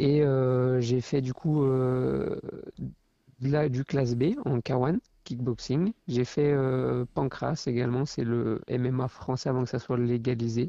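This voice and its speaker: At a very slow pace, a man speaks in a dark, mellow tone with very even loudness and fairly even intonation. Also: medium pitch for a man. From France, Loire (near Saint-Étienne). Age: 20s. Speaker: professional kickboxer. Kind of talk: podcast interview. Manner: hesitant, many fillers.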